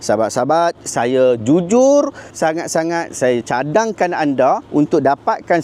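Over noticeable background noise, a man with a fairly high pitch talks fairly slowly with lively intonation. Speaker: YouTuber and Islamic commentator. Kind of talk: religious commentary video.

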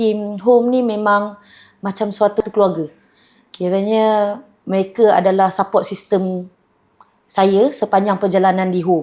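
A woman speaks at a fairly slow pace in a dark, mellow tone with big swings in loudness. The recording is very clean, with a silent background. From Malaysia, Kedah (Changlun). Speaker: franchise owner, business owner. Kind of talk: promotional testimonial.

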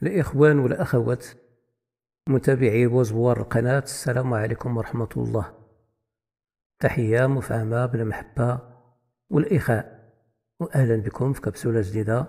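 A man's somewhat breathy, dark and mellow voice at a medium pitch with ordinary pitch variation, fairly slow with long, frequent pauses. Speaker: history channel presenter. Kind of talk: narrated history capsule.

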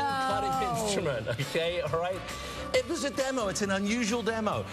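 Over clear music in the background, a man with a British accent talks at a fairly quick pace with an enthusiastic tone and lively intonation. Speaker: TV pitchman. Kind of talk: TV morning show interview with product demos. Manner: enthusiastic, flamboyant. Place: studio. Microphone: lapel.

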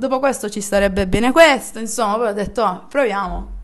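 A woman's ordinary speaking voice at a fairly quick pace, with fairly even intonation. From Apulia, Italy (Barletta); Apulia, Italy. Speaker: DJ; interviewee. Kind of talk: casual interview. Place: home room.

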